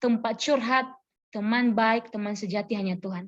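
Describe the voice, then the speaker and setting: Her voice fairly high and somewhat breathy, a woman speaks at a fairly slow pace with fairly even intonation. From Nias, North Sumatra, Indonesia. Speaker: preacher, church worker and teacher. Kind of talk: sermon. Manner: conversational.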